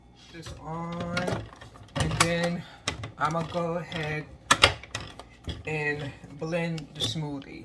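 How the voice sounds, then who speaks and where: A woman is heard over noticeable background noise, with audible room echo. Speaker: lifestyle vlogger. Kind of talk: casual vlog. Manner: casual.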